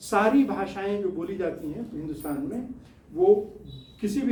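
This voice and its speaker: A Bihari accent with ordinary pitch variation, audible room echo and noticeable background noise. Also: man. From Bihar, India (village). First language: Bhojpuri (speaking Hindi). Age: 70s. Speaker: scientist and social-political activist. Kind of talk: studio interview talk. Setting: studio.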